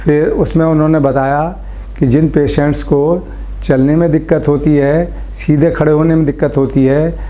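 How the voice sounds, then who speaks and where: A man's fairly high voice, monotone and flat, at very even loudness, with noticeable background noise and audible room echo. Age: 70s. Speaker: surgery patient. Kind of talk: testimony. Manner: halting.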